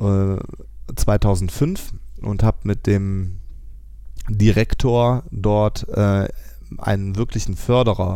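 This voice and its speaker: A man speaks with ordinary pitch variation, and audible room echo surrounds his voice. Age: 30s. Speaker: farmer. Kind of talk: casual interview. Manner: hesitant, many fillers.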